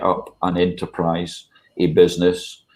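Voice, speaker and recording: With a Scottish accent and a dark, mellow tone, the speaker goes at a very slow pace. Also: man. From Scotland. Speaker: charity chief executive. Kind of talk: online panel discussion. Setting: video call. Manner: hesitant, many fillers.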